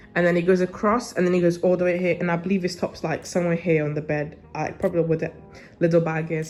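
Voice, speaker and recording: A woman talks very fast with a British accent. Music plays in the background. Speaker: university student vlogger. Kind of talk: casual vlog room tour. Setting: indoors, student studio flat.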